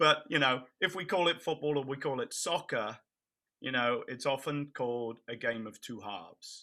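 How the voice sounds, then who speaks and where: With an English accent, a man talks at a moderate pace and medium pitch in a bright, sharp tone. The recording is very clean, with a silent background. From England, near Cambridge. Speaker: nonprofit founder and bereaved parent. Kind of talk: interview.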